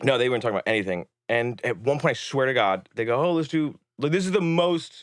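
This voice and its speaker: On a very clean recording with a silent background, a man talks very fast at a medium pitch. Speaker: filmmaker. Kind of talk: casual interview chat. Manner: animated.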